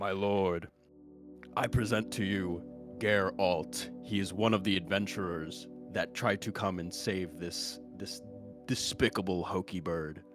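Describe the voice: Against clear background music, a man uses a put-on character voice with a very deep, low pitch at a fairly slow pace.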